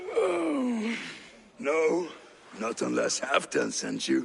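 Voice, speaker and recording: A man puts on a raspy character voice. He speaks very slowly over clear background noise. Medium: video game. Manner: dry, world-weary.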